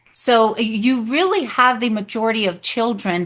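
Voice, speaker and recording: Against a quiet background, a bright, sharp voice with a Spanish accent speaks at a very slow pace. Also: woman. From Texas Panhandle, raised in Dumas; born in Mexico. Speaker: political candidate and educator. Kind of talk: interview. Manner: hesitant, many fillers.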